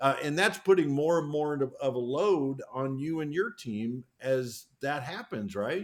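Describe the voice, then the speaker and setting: An unremarkable speaking voice moves at a fairly slow pace with lively intonation. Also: man, fairly high pitch for a man. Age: 60s. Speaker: podcast host. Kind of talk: podcast interview.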